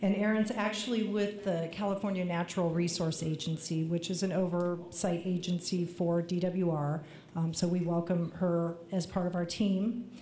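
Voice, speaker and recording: With audible room echo, a woman speaks in a fairly low pitch. Her intonation is fairly even and her loudness very even. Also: moderate pace. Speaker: water agency official. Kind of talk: public meeting remarks.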